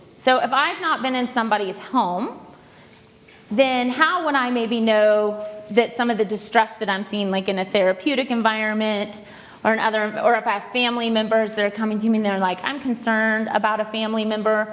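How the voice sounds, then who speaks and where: Over noticeable background noise, a woman talks at a fairly quick pace with fairly high pitch and fairly even intonation. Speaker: counselor. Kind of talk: presentation to an audience.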